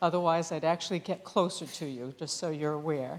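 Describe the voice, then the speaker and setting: Against a very clean, silent background, a woman speaks in an unremarkable speaking voice, fairly low in pitch, at a fairly quick pace with ordinary pitch variation. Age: 60s. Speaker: nurse executive and invited speaker. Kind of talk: talk to a small audience. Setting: small room with audience, being videotaped. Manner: conversational, with filler sounds.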